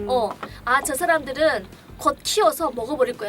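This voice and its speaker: With a North Korean accent, a woman talks at a moderate pace and a high pitch. Her intonation is lively, and music plays in the background. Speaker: clinic director. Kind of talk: casual conversation.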